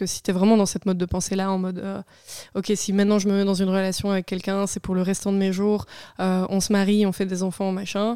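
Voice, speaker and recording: A woman talks fairly quickly in a dark, mellow tone with monotone, flat intonation, on a very clean recording with a silent background and a dry, close sound with no echo. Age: 20s. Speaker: podcast guest sharing personal experience. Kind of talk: casual chat.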